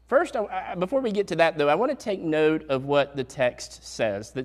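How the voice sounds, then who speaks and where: A man speaks with a Southern US accent at a fairly slow pace. His pitch sits fairly high and swings very widely. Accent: southern drawl. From US South, Statesville, North Carolina. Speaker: pastor. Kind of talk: sermon. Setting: church.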